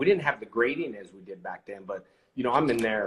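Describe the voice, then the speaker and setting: Pitched in the medium range with ordinary pitch variation, the man talks in an ordinary speaking voice. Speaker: actor and live show host. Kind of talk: casual livestream conversation with a guest.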